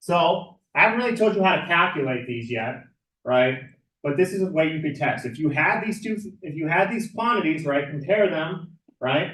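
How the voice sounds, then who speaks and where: A loud man's high-pitched voice, bright and sharp in tone, with lively intonation, a moderate pace and audible room echo. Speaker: math teacher. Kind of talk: lecture.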